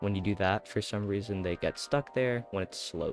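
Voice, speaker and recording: A man speaks at a moderate pace in a fairly low, relaxed voice. Music plays in the background. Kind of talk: casual game tutorial voiceover. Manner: casual, relaxed.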